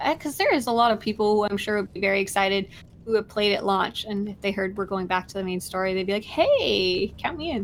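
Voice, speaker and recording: A medium-pitched woman at a very fast pace, hardly any pauses, ordinary pitch variation, and noticeable background noise. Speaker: video game streamer. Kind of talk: casual chat on a live game stream. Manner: speaking quietly.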